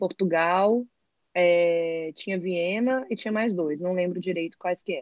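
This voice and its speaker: A woman's normal speaking voice, medium in pitch, at a fairly slow pace with ordinary pitch variation. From Brazil, Brasília. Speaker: architect and graphic designer. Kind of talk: casual chat.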